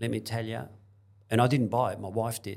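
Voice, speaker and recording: This man's fairly low voice carries noticeable vocal fry. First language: not English. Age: 70s. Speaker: property investor, former hairdresser. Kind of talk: interview.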